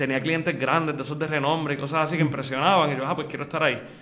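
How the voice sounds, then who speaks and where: The speech is delivered at a very fast pace with monotone, flat intonation. Audible room echo surrounds it. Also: man. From Puerto Rico, Aguada. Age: young. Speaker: lawyer and accountant. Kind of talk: interview.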